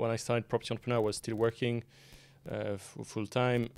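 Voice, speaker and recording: A man with a French accent speaks at a fairly low pitch. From France. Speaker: property software company founder. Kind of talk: podcast interview. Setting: in person, Manchester. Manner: halting, many fillers.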